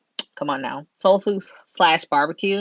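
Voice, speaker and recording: In an American accent, a woman talks with ordinary pitch variation. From Pennsylvania, US. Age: 30s. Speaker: YouTuber. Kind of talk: Q&A vlog, casual chat. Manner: casual, chatty.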